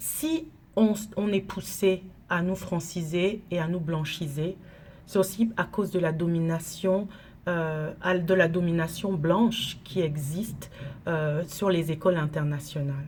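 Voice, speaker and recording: A woman's fairly low, somewhat breathy voice, very slow in pace, with fairly even intonation. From Cameroon. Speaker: teacher and NGO director. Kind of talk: direct-to-camera monologue. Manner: measured, with hesitations.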